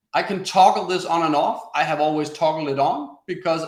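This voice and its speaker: The speech comes in a Danish accent. The pace is fairly quick. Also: man. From Denmark. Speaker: webinar presenter, former sales coach. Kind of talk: webinar tutorial. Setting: online webinar broadcast.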